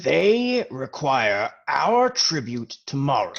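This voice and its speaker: Using a put-on character voice, a man speaks at a very slow pace and a fairly high pitch with very wide pitch swings. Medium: actual play. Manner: blunt, crude.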